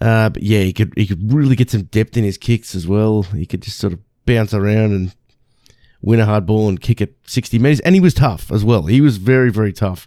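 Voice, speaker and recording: In an Australian accent, a man speaks at a moderate pace with a fairly low pitch, ordinary pitch variation and a dark, mellow tone. The sound is dry and close with no echo, on a very clean recording with a silent background. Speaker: sports podcast host. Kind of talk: solo sports recap. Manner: halting.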